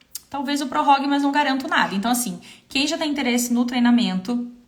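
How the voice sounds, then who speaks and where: A woman's voice over noticeable background noise. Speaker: visual merchandising consultant and trainer. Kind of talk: live stream Q&A with sales pitch. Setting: Instagram live stream.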